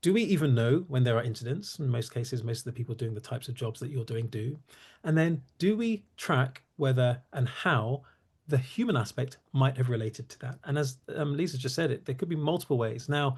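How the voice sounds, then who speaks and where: A man talks at a medium pitch with ordinary pitch variation, his voice somewhat breathy. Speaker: cybersecurity company CEO and founder. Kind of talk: webinar presentation. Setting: online webinar. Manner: fast; halting, many fillers.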